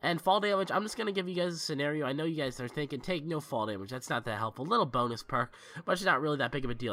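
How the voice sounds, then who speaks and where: Very fast speech from a man at medium pitch, bright and sharp in tone, with very wide pitch swings. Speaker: gaming YouTuber. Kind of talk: gameplay commentary. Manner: quiet, can't get louder; casual, conversational.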